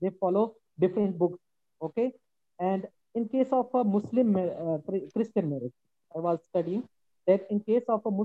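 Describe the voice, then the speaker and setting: The quiet voice moves at a moderate pace, broken by long, frequent pauses. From Pakistan. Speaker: panel guest. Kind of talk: video call discussion. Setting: video call. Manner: quiet, microphone issue.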